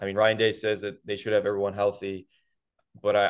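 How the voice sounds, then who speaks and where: At a fairly quick pace, a man talks in a plain, everyday voice pitched fairly low. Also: quiet background. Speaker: college football reporter. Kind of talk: casual interview chat.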